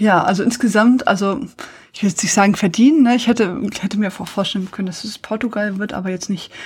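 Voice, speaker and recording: A woman speaks at a very fast pace and a medium pitch, somewhat breathy, with ordinary pitch variation and big swings in loudness. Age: 40s. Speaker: podcast host. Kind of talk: casual chat.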